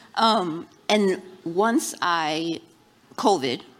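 A woman is speaking. Her pitch sits fairly low. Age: 50s. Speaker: content creator. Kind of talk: live panel discussion. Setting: live event with audience.

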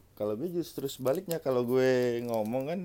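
Over noticeable background noise, a man with a Jakarta accent speaks with ordinary pitch variation. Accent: sounds like South Jakarta speech. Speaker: podcast co-host, office worker. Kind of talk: casual chat.

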